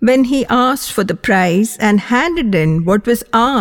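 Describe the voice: The text is delivered as plain reading aloud.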